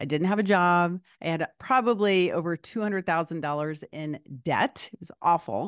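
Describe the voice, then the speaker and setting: Over a quiet background with a dry, close sound and no echo, a woman with an unremarkable speaking voice talks at a moderate pace, pitched fairly low, with ordinary pitch variation and big swings in loudness. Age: 50s. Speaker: podcast host and life coach. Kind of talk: casual interview.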